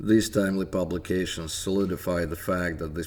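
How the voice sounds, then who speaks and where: With a Russian accent, a man speaks at a moderate pace in a very deep, low pitch and monotone, flat intonation. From Soviet Union. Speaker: independent history researcher. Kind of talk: scripted narration.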